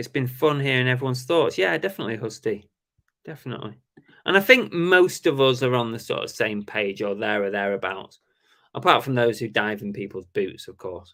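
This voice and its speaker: On a very clean recording with a silent background, a man with a British accent speaks fairly quickly at a medium pitch, with lively intonation and big swings in loudness. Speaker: reseller and live-stream host. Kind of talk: casual live-stream chat. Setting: live stream, alone tonight. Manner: halting, many fillers.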